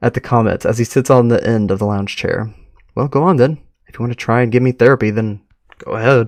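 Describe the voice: The background stays quiet. The voice is plain reading aloud.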